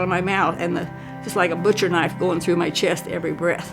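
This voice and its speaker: Music plays in the background as a woman talks at a fairly low pitch. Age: 80s+. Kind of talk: interview answer. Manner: casual.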